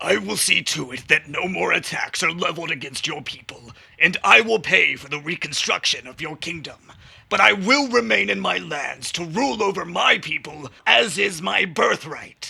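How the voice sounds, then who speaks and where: A guttural cartoonish character voice moves at a moderate pace with big swings in loudness. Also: man, high pitch for a man. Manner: slow, drawn-out, powerful.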